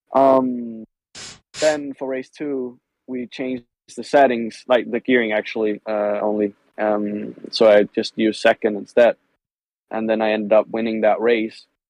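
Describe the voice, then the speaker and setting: A man at a medium pitch, fairly slow and fairly even in intonation, in a dry, close sound with no echo. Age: 20s. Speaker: motorcycle racer. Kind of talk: casual chat. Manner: halting.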